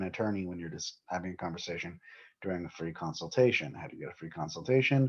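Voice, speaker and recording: A man with a slight Southern US accent talks very fast in a very deep, low voice full of lively intonation. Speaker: attorney. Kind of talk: legal explainer video. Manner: casual, conversational.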